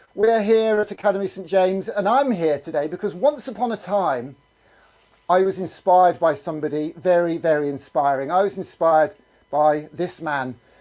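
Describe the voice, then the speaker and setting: Loud and high-pitched, a man talks at a moderate pace with lively intonation. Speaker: assembly presenter for schools. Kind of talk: live streamed school assembly. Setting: video call. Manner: animated.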